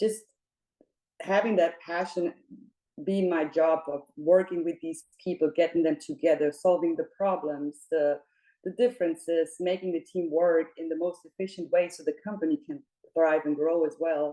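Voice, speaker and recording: With a German accent, a woman talks at a moderate pace in a fairly low pitch, her tone dark and mellow. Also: ordinary pitch variation. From Germany, Munich. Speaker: operations and people manager, job seeker. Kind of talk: interview.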